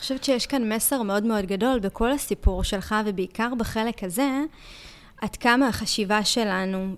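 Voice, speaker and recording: An unremarkable speaking voice from a woman, fairly high in pitch, with fairly even intonation and a moderate pace. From Israel, Ashkelon. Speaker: podcast host. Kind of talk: interview.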